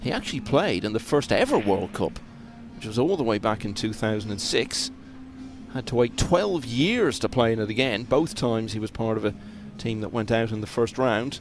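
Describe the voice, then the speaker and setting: Over music in the background, a man talks at a moderate pace in a medium pitch, with ordinary pitch variation. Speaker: pool commentator. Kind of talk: live commentary.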